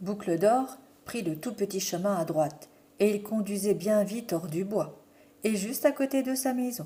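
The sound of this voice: An unforced reading voice is what this recording holds.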